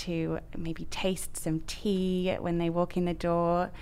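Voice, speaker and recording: A woman with an ordinary speaking voice talks with fairly even intonation. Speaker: boutique retailer. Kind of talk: interview chat.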